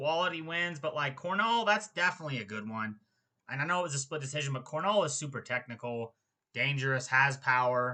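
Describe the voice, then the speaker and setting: A man's plain, everyday voice, fairly high in pitch, with lively intonation against a quiet background. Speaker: MMA fight analyst. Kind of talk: casual fight predictions monologue. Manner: casual, filler-heavy (um, like, dude).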